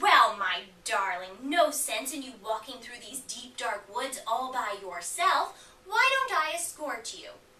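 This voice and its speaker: This woman uses a put-on character voice with a high pitch. She speaks at a fairly slow pace. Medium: read story. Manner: smooth, coaxing.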